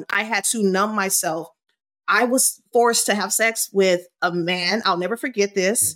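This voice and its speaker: A woman talks at a fairly slow pace and medium pitch. Her tone is animated. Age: 40s. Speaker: burlesque performer and coach. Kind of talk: podcast interview.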